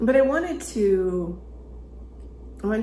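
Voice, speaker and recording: A soft-spoken woman talks in a calm, relaxed tone amid noticeable background noise. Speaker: relationship strategist. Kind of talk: ASMR conversational talk to camera. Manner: soft-spoken, slow.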